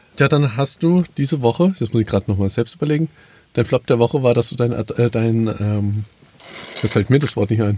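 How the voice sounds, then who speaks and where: A man speaks at a moderate pace in a dark, mellow tone that is somewhat breathy, the sound dry and close with no echo. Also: medium pitch for a man, ordinary pitch variation. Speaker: podcast co-host. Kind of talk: casual chat. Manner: animated.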